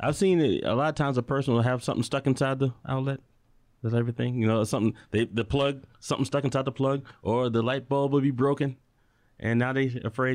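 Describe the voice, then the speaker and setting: Speaking at a very fast pace with an American accent, a man at medium pitch keeps fairly even intonation against a quiet background. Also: very even loudness. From Chicago. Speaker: electrician and musician. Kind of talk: casual chat.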